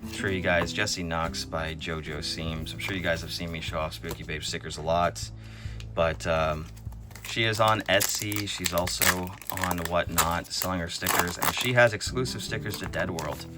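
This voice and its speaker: Speech at a moderate pace with music in the background. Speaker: trading card unboxing YouTuber. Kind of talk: casual unboxing commentary.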